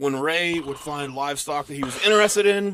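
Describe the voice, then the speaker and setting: This man has an American accent and a fairly high pitch. He talks very fast with lively intonation. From Missouri and Arkansas. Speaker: podcast co-host. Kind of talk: casual chat, narrating a true crime story.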